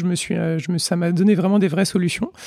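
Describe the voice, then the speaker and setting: A man speaks in a high voice. His tone is dark and mellow. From Vendée, western France. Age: 30s. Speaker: physiotherapist. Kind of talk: interview conversation. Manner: halting, many fillers and repetitions.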